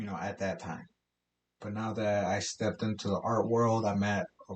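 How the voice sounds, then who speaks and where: In an ordinary speaking voice, a man with an American accent talks at a moderate pace, fairly low-pitched and with fairly even intonation. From South Side Chicago, Mexican family. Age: 20s. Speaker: artist and podcast host. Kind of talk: casual chat.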